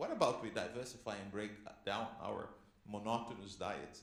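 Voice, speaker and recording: A man talks in an animated tone. There is audible room echo. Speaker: panelist. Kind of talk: panel discussion. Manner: loud.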